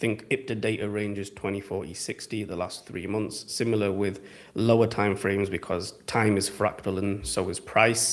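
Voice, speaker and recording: A man with an English accent speaks at a moderate pace and a fairly low pitch. His intonation is fairly even, and he hardly pauses at all. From England. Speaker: trading educator. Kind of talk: live Q&A stream. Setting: live stream. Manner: casual.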